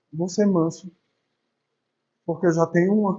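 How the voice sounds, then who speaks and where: This is a man speaking. He is soft-spoken. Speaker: spiritist lecturer. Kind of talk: religious lecture. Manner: conversational, informal.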